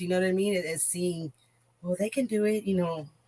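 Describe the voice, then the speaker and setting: Her voice is somewhat breathy, at a medium pitch with ordinary pitch variation. The woman speaks at a fairly quick pace. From Corpus Christi, Texas. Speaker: small business owner. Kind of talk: casual podcast interview. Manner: animated.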